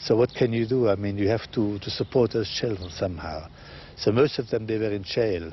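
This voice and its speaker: Here a man talks at a moderate pace, his fairly low pitch showing ordinary pitch variation, an ordinary speaking voice. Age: 60s. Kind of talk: interview testimony.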